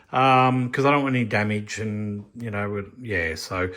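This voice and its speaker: At a moderate pace, a man speaks in an Australian accent. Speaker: scale model builder. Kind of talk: tutorial. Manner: casual, rambling with fillers.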